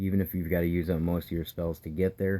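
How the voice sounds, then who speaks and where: Quiet and dark with a mellow tone, a man speaks at a moderate pace in a very deep, low pitch with monotone, flat intonation. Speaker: gaming video creator. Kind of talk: gameplay commentary tutorial. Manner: quiet, keeping it down.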